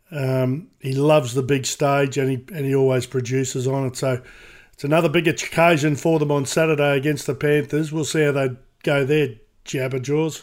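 The recording is very clean, with a silent background. A man with an Australian accent speaks in a fairly high, monotone, flat voice at a moderate pace. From Queensland, Australia. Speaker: sports radio personality, podcast co-host. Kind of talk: casual chat. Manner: halting, repeats words.

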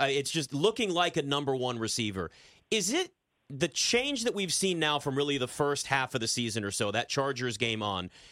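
At a moderate pace, a man with a normal speaking voice talks in a fairly high pitch with lively intonation. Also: very clean recording, silent background. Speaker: sports betting radio host. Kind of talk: casual sports talk.

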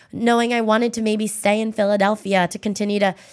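A woman's fairly quick, fairly high-pitched speech with ordinary pitch variation, a plain, everyday voice, on a very clean recording with a silent background. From Pennsylvania, US. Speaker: political strategist and social media creative director. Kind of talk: casual interview chat.

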